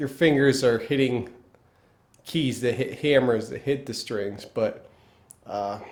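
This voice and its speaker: A man with a Pennsylvania accent, very slow pace, long and frequent pauses and fairly even intonation. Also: medium pitch for a man. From northeastern US, Pennsylvania. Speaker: guitar teacher. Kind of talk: tutorial. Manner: casual, halting with fillers.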